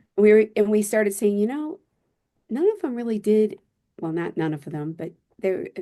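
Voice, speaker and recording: A woman with an American accent speaks at a fairly high pitch, her dark, mellow tone moving through very wide pitch swings. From US Midwest (Michigan). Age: 60s. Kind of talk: podcast interview.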